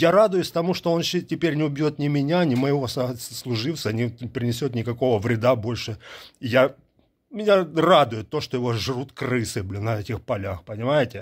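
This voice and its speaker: Lively intonation marks a man's moderate-paced speech. The background is quiet. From Ukraine. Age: 50s. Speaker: soldier and video blogger. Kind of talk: monologue answering viewer questions. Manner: animated. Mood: earnest, emotional, contemptuous of enemy. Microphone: earbuds.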